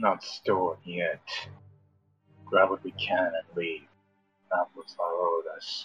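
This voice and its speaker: A man speaks in a put-on character voice at a fairly slow pace, with long, frequent pauses. Faint music plays in the background. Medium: actual play. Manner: terse, clipped speech.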